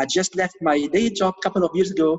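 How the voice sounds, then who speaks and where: A man with a non-native accent speaks at a high pitch. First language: not English. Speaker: real estate investor and author. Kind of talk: interview. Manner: hesitant, many fillers and repeats.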